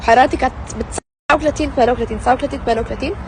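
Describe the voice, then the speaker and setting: Her pitch rises and falls in an ordinary way. This woman's voice is high-pitched. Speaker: family vlogger. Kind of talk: vlog to camera. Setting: in a car. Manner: animated.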